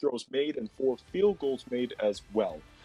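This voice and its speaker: Music plays in the background as a man speaks at a fairly slow pace, the sound dry and close with no echo. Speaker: basketball commentator. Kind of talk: basketball play-by-play.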